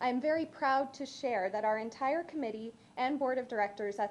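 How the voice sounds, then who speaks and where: A woman speaks at a fairly quick clip with ordinary pitch variation. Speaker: local history volunteer. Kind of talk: council deputation presentation. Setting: council chamber. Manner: fast.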